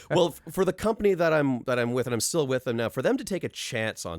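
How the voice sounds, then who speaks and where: A man with vocal fry at a fairly quick pace on a very clean recording with a silent background. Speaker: podcaster and animator. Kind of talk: casual chat.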